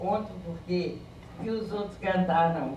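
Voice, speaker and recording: A woman speaks with ordinary pitch variation. Audible room echo and noticeable background noise surround her. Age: 70s. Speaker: traditional jongo/caxambu leader. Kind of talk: conference testimony. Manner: halting.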